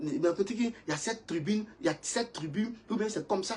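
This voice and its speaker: A man is speaking. His pitch is high. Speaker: preacher. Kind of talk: sermon. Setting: livestream. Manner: fast.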